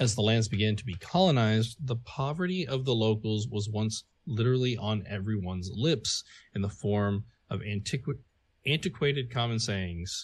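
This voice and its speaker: Against a quiet background, a man speaks at a moderate pace in a somewhat breathy voice of medium pitch with ordinary pitch variation. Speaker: podcast co-host. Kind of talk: casual chat.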